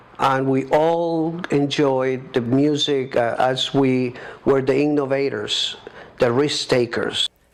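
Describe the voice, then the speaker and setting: Over noticeable background noise, a man with a fairly high voice speaks at a very slow pace. His intonation is monotone and flat, and his loudness is very even. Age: 60s. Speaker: DJ. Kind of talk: documentary interview.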